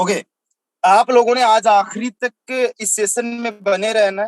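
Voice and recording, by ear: This man talks at a fairly slow pace in a high voice, and the sound is dry and close with no echo. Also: fairly even intonation.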